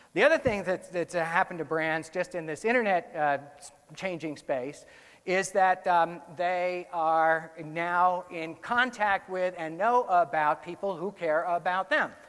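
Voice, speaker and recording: Ordinary pitch variation marks a man's high-pitched voice. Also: big swings in loudness. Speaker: conference speaker, research director. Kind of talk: conference talk. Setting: stage with audience. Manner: fast.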